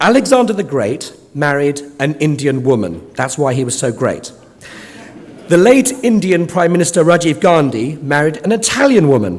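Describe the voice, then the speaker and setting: At a moderate pace, a man with a fairly high pitch swings his pitch very widely, amid noticeable background noise and audible room echo. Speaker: conference chair. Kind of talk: conference opening speech. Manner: formal.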